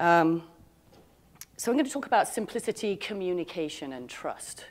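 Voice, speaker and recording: Lively intonation from a woman, delivered at a moderate pace. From Scotland. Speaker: insurance executive. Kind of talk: keynote speech. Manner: halting, many fillers.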